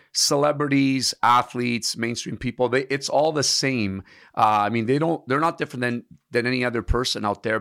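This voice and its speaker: Recorded very cleanly with a silent background and a dry, close sound with no echo, a man with an unremarkable speaking voice talks fairly quickly at a medium pitch, with ordinary pitch variation. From Canada, immigrated from Italy at seven. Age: 50s. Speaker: personal trainer. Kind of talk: casual interview chat.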